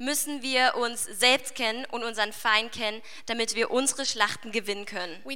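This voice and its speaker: A woman talks at a moderate pace. Noticeable background noise and audible room echo surround her. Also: fairly high pitch for a woman, ordinary pitch variation. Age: 20s. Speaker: youth leader giving a sermon. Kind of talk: sermon.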